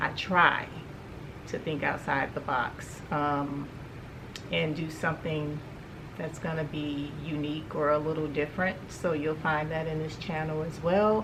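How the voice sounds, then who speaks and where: A woman with a very deep, low pitch speaks in a monotone, flat intonation amid audible room echo and noticeable background noise. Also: fairly slow pace. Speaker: home decor YouTuber. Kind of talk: shopping haul vlog.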